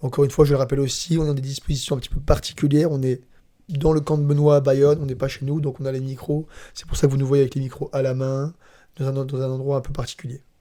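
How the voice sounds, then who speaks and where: Speaking at a very fast pace, a man has a fairly high pitch and flat, monotone intonation. His voice is dark, mellow and somewhat breathy. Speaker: MMA analyst. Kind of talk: casual chat. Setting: training camp, handheld microphones.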